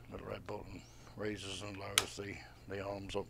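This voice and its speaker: A man with a fairly low pitch talks in a flat monotone, his voice dry with no echo over light background noise. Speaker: shop staff reviewer. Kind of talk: product walkthrough. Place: shop. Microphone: phone near.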